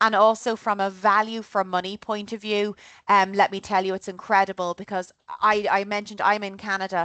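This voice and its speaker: Over a quiet background, a woman with an Irish accent speaks at medium pitch and a fairly quick pace, her tone bright and sharp in a dry, close sound with no echo. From Ireland. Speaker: travel tour organizer. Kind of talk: informational presentation. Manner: casual and animated.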